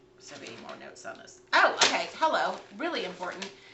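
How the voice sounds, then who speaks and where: Through audible room echo and noticeable background noise, a woman speaks at a fairly quick pace. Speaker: realtor. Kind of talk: casual livestream talk on real estate investing. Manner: fast.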